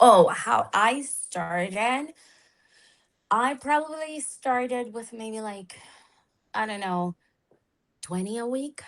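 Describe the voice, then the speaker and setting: With a non-native accent, a woman at a fairly high pitch speaks at a very slow pace, using lively intonation, long, frequent pauses and big swings in loudness. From outside the English-speaking world (immigrant). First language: not English. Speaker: therapist turned social media coach. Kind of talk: live interview chat. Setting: live video stream. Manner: halting, many fillers.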